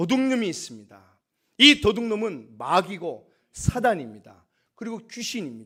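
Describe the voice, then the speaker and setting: With ordinary pitch variation, a man's high-pitched voice is heard in a very clean recording with a silent background. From Korea, Gyeongsang province. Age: 50s. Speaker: pastor. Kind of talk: sermon.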